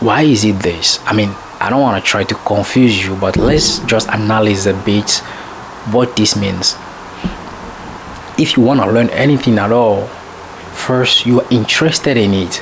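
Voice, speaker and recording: With noticeable background noise behind him, a man with a French accent speaks at a moderate pace in a fairly low pitch, using ordinary pitch variation and long, frequent pauses. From French-speaking country. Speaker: self-improvement vlogger. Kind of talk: casual monologue. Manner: halting, with many fillers.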